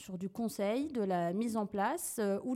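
The tone is dark and mellow, with ordinary pitch variation. The recording is very clean, with a silent background. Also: woman. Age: 30s. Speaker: digital marketing consultant. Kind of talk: interview.

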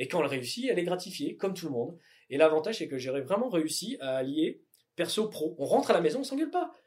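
Very fast and high in pitch, a man talks with very wide pitch swings. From southern France (Tarn), raised in northern France. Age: 30s. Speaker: electronics company founder. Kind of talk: interview. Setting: company offices. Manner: hesitant, many fillers.

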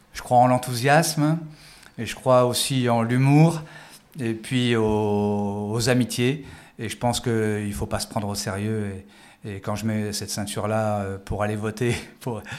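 A man with a medium-pitched voice and ordinary pitch variation talks at a fairly slow pace. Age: 50s. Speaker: former police tactical officer and judoka. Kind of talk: interview. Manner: halting, with frequent repetitions.

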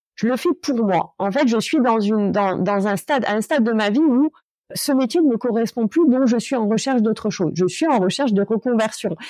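Against a quiet background, a woman speaks with a fairly high pitch and a dark, mellow tone. Her intonation is lively. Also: moderate pace, very even loudness, dry, close sound with no echo. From Corsica, Ajaccio. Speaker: lawyer and coach. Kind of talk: interview. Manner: hesitant, many fillers.

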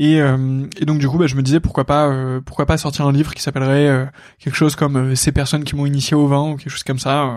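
A man's fairly high voice at a very fast pace, flat and monotone in intonation. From northern France. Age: 20s. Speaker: podcast host. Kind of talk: solo podcast monologue. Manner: hesitant, many fillers.

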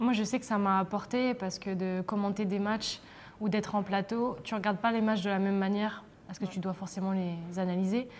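Fairly quick in pace and fairly even in intonation, an ordinary speaking voice carries on. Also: woman, medium pitch for a woman. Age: 30s. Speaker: professional footballer. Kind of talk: casual interview.

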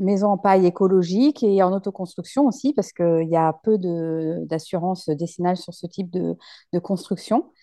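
A woman talks at a moderate pace with ordinary pitch variation and a dark, mellow tone. The sound is dry and close with no echo, and the background is quiet. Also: medium pitch for a woman. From western France, La Rochelle. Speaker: interior decorator. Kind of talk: interview. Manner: hesitant, many fillers.

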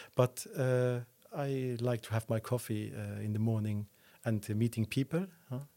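Speaking with a Luxembourgish accent, a man at a medium pitch goes at a fairly slow pace with ordinary pitch variation, in a dry, close sound with no echo. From Luxembourg, Esch-sur-Alzette. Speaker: entrepreneur and property developer. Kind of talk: interview. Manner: halting, many fillers.

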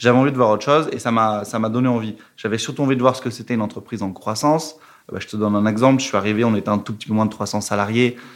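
Delivery is very fast, with fairly even intonation throughout. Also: man, medium pitch for a man. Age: 20s. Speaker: revenue operations manager at a fintech. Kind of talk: casual interview. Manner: hesitant, many fillers.

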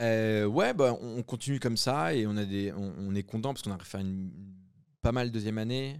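A man's ordinary speaking voice, medium in pitch with ordinary pitch variation, at a moderate pace in a very clean recording with a silent background. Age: 20s. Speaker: entrepreneur. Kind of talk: casual interview.

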